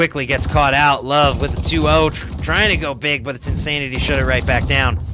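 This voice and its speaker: Against noticeable background noise, a man speaks at a fairly quick pace with hardly any pauses. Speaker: esports caster. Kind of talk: live commentary. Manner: animated.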